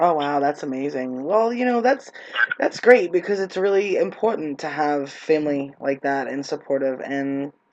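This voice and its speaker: A New York accent comes through. The speech moves at a moderate pace. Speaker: interviewer, anti-bullying advocate. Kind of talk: casual interview.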